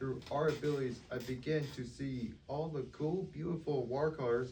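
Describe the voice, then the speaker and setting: A man with an American accent speaks at a fairly slow pace in a medium pitch, his voice somewhat breathy and his pitch variation ordinary, with audible room echo around him. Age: 20s. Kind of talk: reading aloud prepared self-introduction. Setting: meeting with audience.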